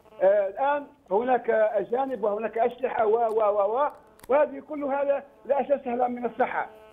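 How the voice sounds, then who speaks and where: A man's extremely high-pitched voice with ordinary pitch variation, very even loudness and a moderate pace, over noticeable background noise. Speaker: former judge. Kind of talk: political talk show debate.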